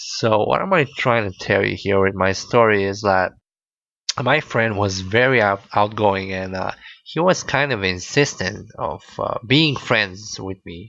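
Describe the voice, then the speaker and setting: A man's fairly low voice with a bright, sharp tone, ordinary pitch variation, and a fairly slow pace. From Bulgaria. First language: Bulgarian. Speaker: podcaster. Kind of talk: casual storytelling monologue. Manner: hesitant, many fillers.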